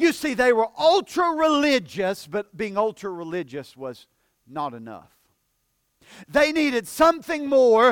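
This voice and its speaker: A man with a Southern US accent speaks fairly slowly at an extremely high pitch with very wide pitch swings, in a very clean recording with a silent background and a dry, close sound with no echo. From US South. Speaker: pastor. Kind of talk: sermon. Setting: church.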